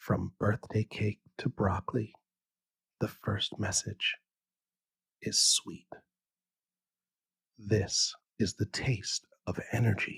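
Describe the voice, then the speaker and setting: In a calm, soothing tone, a man speaks at a very slow pace with long, frequent pauses and a dry, close sound with no echo. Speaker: bedtime science podcast host. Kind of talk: sleep story. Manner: calm, soothing, slow.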